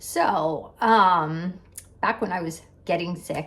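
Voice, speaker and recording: Animated in tone, a woman speaks at a medium pitch with ordinary pitch variation. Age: 60s. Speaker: health vlogger. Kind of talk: casual chat.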